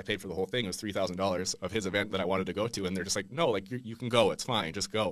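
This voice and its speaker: Very fast speech from a man in a fairly low pitch comes with fairly even intonation. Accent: Western Canadian. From Langley, British Columbia, Canada; British Columbia, Canada. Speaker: golf apparel founder; podcast guest. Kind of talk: interview. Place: studio. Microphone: studio mic.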